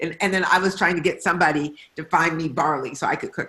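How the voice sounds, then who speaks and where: A woman's unremarkable speaking voice, fairly low in pitch, with an American accent and a fairly quick pace. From Detroit, US Midwest. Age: 60s. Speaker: novelist. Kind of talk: author conversation. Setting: video call.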